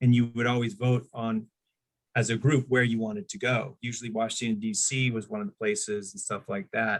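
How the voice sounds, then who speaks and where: A man's ordinary speaking voice, medium in pitch with ordinary variation, at a moderate pace. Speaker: stand-up comedian and voice-over actor. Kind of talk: interview answer, casual storytelling.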